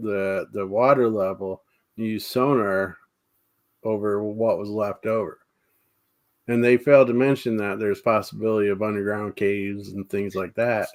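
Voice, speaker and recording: A plain, everyday voice from a man with an American accent, fairly low in pitch, fairly even in intonation and moderate in pace. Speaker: paranormal talk show host. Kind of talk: casual live chat with guests.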